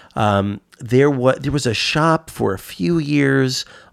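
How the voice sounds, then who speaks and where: A man speaks with a New York accent. The sound is dry and close with no echo, on a very clean recording with a silent background. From New York (Westchester, born in the Bronx). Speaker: comic shop customer. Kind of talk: casual chat. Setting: studio. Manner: halting, many fillers and repeats.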